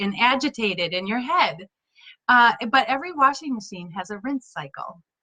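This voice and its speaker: A woman speaks with a fairly high pitch. Her voice makes very wide pitch swings. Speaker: leadership coach. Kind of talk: casual talk to camera, Facebook live. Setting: Facebook live video.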